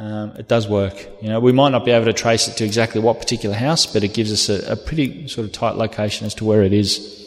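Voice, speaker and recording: Speaking in an Australian accent, a man with a fairly low pitch and fairly even intonation talks at a very fast pace with hardly any pauses. Noticeable background noise runs underneath. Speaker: police officer. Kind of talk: lecture.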